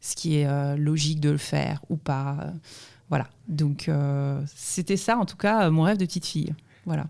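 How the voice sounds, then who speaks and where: The recording is very clean, with a silent background. A woman speaks at a very deep, low pitch in a dark, mellow tone. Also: ordinary pitch variation, fairly slow pace. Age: 40s. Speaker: entrepreneur, former banker. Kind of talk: interview podcast. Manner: hesitant, many fillers.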